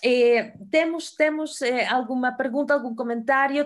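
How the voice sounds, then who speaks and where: The recording is very clean and the background silent. A woman talks at a moderate pace, her pitch varying in an ordinary way. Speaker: moderator. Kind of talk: panel discussion. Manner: hesitant, many fillers.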